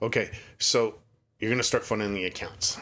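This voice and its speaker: A man's fairly low voice in a Canadian accent, at a fairly quick pace, on a very clean recording with a silent background. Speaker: finance tutorial youtuber. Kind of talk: tutorial. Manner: fast.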